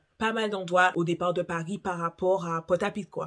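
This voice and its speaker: A woman is speaking. Her pitch sits fairly low for a woman. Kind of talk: casual talk to camera.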